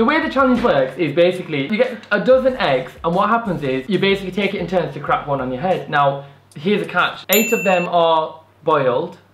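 Speaking at a fairly quick pace with hardly any pauses, a man is heard with audible room echo and light background noise. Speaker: channel host. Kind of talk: casual vlog chat. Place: home room.

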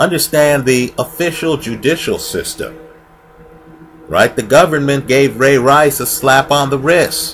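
With music in the background, a man speaks slowly-ish, at a fairly slow pace, in a fairly high pitch with fairly even intonation. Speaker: video blogger and sports commentator. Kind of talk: opinionated monologue to camera, angry rant at the point flagged. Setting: online video, recorded solo. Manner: heated, emphatic and indignant, hammering points with repeated 'right?'; conversational, rhetorical, sarcastic. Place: home room. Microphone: headset.

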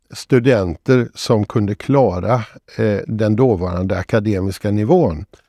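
The tone is dark and mellow, delivered at a fairly slow pace. The sound is dry with no echo, over a quiet background. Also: man. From Sweden, Borås (Västergötland); Sweden. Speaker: retired professor and author; retired professor. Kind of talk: interview. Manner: hesitant, frequent filler sounds. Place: studio. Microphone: lapel.

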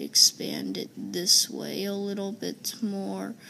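Very slow speech from a woman. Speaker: gaming video creator; gamer. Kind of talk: casual gameplay commentary. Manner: halting, many fillers. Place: home room. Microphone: phone near.

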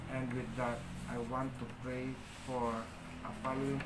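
Loud background noise surrounds a man speaking with a Filipino accent. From Philippines. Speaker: spiritual leader / priest of a shrine. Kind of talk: livestream ritual and talk. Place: home room. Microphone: phone near.

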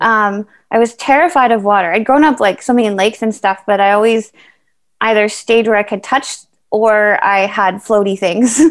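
Against a quiet background, a woman with a Canadian accent talks at a moderate pace and a fairly high pitch, with very even loudness and ordinary pitch variation. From Canada. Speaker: para triathlete; interviewee. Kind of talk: interview, casual chat; interview answer. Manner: hesitant with many fillers. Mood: warm, relaxed. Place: home room. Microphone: video call.

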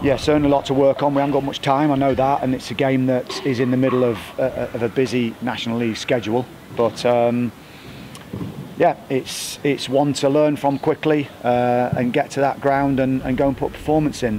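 With noticeable background noise behind him, a man talks at a fairly quick pace in a monotone, flat way. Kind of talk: interview answer. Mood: subdued, reflective after a disappointing result. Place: stadium. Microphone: handheld.

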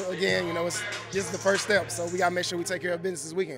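A man with a high pitch speaks over clear background music in a dry sound with no echo. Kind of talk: interview answer. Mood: upbeat, celebratory.

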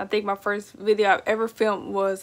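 Against a quiet background, a woman speaks at a moderate pace with an American accent. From Texas. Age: 20s. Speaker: pet YouTuber. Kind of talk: casual vlog monologue. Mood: relaxed, chatty. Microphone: phone near.

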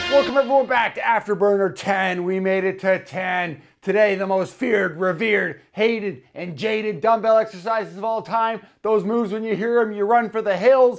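Over a quiet background, a man talks at a moderate pace with hardly any pauses. His pitch is high for a man and varies in an ordinary way. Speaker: fitness trainer. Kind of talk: workout video intro to camera. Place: gym. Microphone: lapel.

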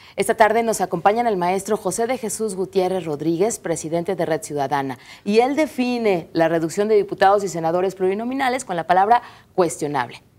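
A woman talks at a fairly quick pace with lively intonation. Her pitch is medium. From Mexico. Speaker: TV talk show host. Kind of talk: moderated panel discussion. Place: studio. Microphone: lapel.

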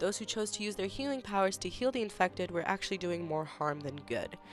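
Music plays behind the speaker. The delivery is very fast, with lively intonation. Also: woman. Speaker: university student. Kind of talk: school presentation narration.

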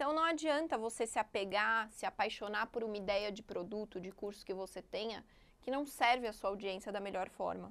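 A woman speaks in a plain, everyday voice at a fairly high pitch and a moderate pace. The recording is very clean, with a silent background. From Brazil, São Paulo area. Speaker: digital marketing entrepreneur. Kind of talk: podcast interview.

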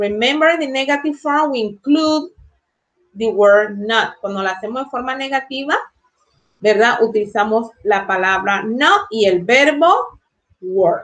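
With lively intonation and long, frequent pauses, a woman speaks at a fairly high pitch. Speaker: English teacher. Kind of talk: lecture. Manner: bilingual code-switching, slow explanatory. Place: home room. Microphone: webcam.

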